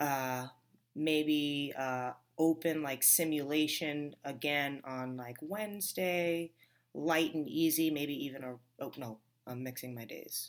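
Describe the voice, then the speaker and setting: With an American accent, a woman speaks at a very slow pace in a very deep, low voice, using ordinary pitch variation and big swings in loudness. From New York, Long Island area. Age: 30s. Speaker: CrossFit athlete and gymnastics coach. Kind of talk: interview. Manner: halting, many fillers.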